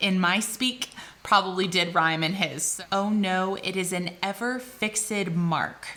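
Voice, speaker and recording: In an American accent, a woman speaks at medium pitch with ordinary pitch variation. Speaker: English tutor. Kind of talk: tutorial. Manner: casual with frequent fillers.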